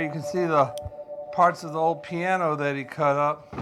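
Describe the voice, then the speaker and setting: Music plays behind a man whose voice sits fairly high. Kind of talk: documentary walk-through narration. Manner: casual.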